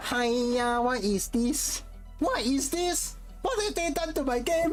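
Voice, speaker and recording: A put-on character voice at a fairly slow pace, with clear music in the background. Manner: exasperated, dismayed.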